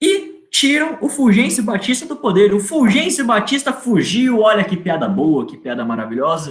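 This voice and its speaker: An animated man speaks in a high pitch with very wide pitch swings. His pace is moderate, with hardly any pauses. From Brazil, interior of São Paulo state. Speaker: history teacher. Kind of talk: online lecture. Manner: casual, animated.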